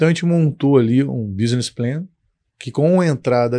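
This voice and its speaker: A man speaks at a moderate pace in a dark, mellow tone, and the background is quiet. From Brazil, Petrópolis (Rio de Janeiro state); Rio de Janeiro state, Brazil. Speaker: company founder, engineer; guest. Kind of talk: interview. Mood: calm, reflective storytelling. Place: studio. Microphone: studio mic.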